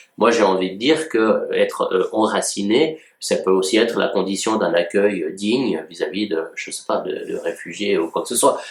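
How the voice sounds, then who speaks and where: A man speaks at a moderate pace with hardly any pauses. Noticeable background noise runs underneath. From Switzerland, canton of Vaud. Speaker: journalist and commentator. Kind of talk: commentary on a read-out editorial. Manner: hesitant, many fillers. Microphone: no microphone, built-in audio.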